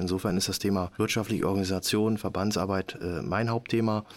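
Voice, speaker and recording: On a very clean recording with a silent background, a man talks at a very fast pace with a fairly low pitch and fairly even intonation. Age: 50s. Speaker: handball club managing director. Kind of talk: casual interview.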